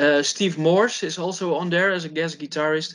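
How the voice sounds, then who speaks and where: Speech in a Dutch accent at a moderate pace. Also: man. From Netherlands. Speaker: heavy metal guitarist. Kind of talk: casual interview chat. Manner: halting, with repetitions.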